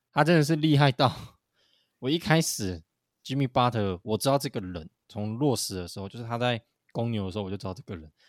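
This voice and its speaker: A man with a plain, everyday voice speaks at a medium pitch and a fairly quick pace, with lively intonation and big swings in loudness. The recording is very clean, with a silent background and a dry, close sound with no echo. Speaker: basketball podcast co-host. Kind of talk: casual chat. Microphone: new microphone.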